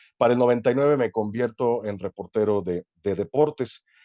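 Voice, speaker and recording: Using a plain, everyday voice, a man speaks at a fairly quick pace, medium in pitch with ordinary pitch variation. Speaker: sports announcer and commentator. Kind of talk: interview answer. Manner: casual, conversational.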